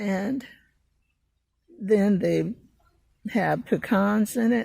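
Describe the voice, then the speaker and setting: A woman speaks at a medium pitch with fairly even intonation, her tone dark and mellow and somewhat breathy. The recording is very clean, the background silent. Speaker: home gardener and video creator. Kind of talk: casual tutorial. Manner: hesitant, many fillers.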